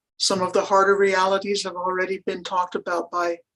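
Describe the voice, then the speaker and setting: A woman speaks at a medium pitch. Her intonation stays monotone and flat. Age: 60s. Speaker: rural pastor. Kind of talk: panel presentation. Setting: webinar.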